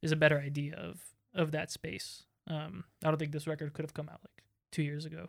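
The speech has monotone, flat intonation at a fairly quick pace. It is a very clean recording with a silent background. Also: man. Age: 20s. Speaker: musician. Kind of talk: casual chat.

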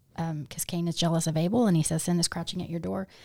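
This woman has a fairly low voice with a dark, mellow tone and fairly even intonation. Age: 50s. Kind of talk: podcast interview, personal testimony.

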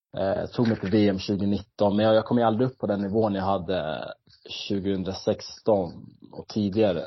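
Speaking at a fairly slow pace, a man uses an ordinary speaking voice. His pitch is fairly low and his intonation fairly even. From Sweden, Stockholm area. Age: 30s. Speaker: retired competitive swimmer. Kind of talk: interview. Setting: at home in kitchen, remote call.

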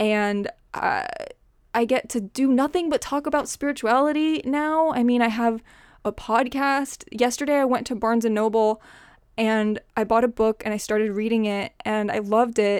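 Her pitch fairly high, a woman speaks at a moderate pace with ordinary pitch variation. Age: 20s. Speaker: podcast host. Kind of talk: solo podcast monologue. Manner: casual, laughs often.

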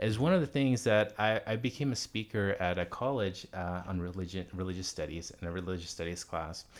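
A man with an American accent speaks at a fairly quick pace with hardly any pauses and a fairly low pitch that varies in an ordinary way. His is an unremarkable speaking voice, on a very clean recording with a silent background. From US South, Pine Bluff, Arkansas. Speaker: Quran teacher and prayer leader. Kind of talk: interview. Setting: home living room.

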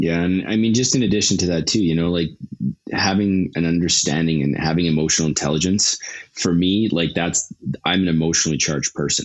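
With a western Canadian accent, a man talks at a fairly quick pace in a very deep, low pitch. His loudness stays very even, and his pitch varies in an ordinary way. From Canada, Calgary, Alberta. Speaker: startup executive. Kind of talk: interview. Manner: talkative.

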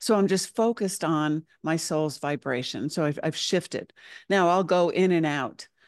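A woman's unremarkable speaking voice, fairly low in pitch and fairly slow, with ordinary pitch variation, dry and close with no echo against a quiet background. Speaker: spiritual channel and teacher. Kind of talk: casual interview chat.

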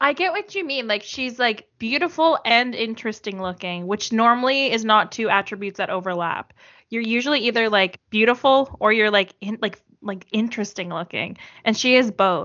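Her pace is moderate and she has a normal speaking voice. The woman's pitch is fairly high and varies in an ordinary way. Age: 30s. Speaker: returning podcast guest, TV fan. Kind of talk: casual chat.

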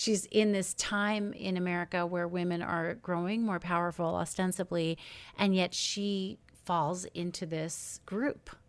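In a very clean recording with a silent background, a woman with an unremarkable speaking voice talks fairly slowly in a fairly low pitch with fairly even intonation. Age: 40s. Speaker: podcast host. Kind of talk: scripted intro; interview.

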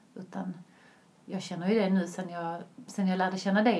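Medium-pitched female speech at a moderate pace, fairly even in intonation, with audible room echo and noticeable background noise. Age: 30s. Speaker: vegan lifestyle influencer. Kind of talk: casual interview.

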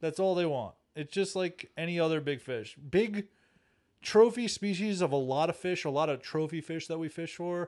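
With a quiet background, a man speaks at a high pitch in an American accent. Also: ordinary pitch variation, moderate pace. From Long Island, New York. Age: 30s. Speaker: fishing guide. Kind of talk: casual chat.

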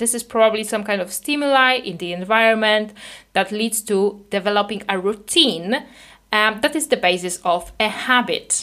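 A woman with a non-native accent and a bright, sharp tone speaks at a moderate pace and fairly high pitch with ordinary pitch variation, on a very clean recording with a silent background. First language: not English. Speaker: podcast host and binge eating coach. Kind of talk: solo educational podcast monologue. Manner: hesitant with filler words and repetitions.

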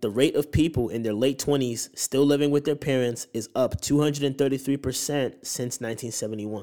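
In a very clean recording with a silent background, a man speaks at medium pitch in a dark, mellow tone. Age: 20s. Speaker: podcast host, investing educator. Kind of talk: casual monologue on investing. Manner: casual, filler-heavy.

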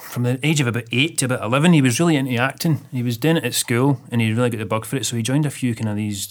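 A man with a Scottish accent, medium-pitched, at a very fast pace with ordinary pitch variation. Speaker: web designer and film extra. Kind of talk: casual chat.

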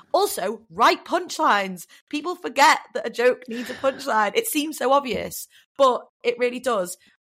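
Very wide pitch swings mark this voice with a northern English accent, captured on a very clean recording with a silent background. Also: woman, high pitch for a woman, moderate pace. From northern England. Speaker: comedian and voiceover artist. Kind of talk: casual interview chat. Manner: animated, jokey.

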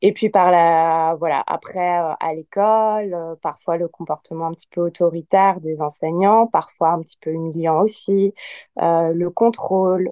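A woman's ordinary speaking voice, fairly low in pitch, fairly slow, with fairly even intonation. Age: 30s. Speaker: yoga teacher. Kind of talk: casual chat.

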